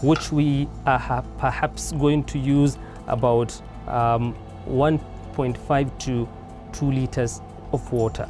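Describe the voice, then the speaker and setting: A man speaks at a very slow pace, with long, frequent pauses. Clear music plays in the background. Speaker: cooking show host. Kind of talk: tutorial. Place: garden.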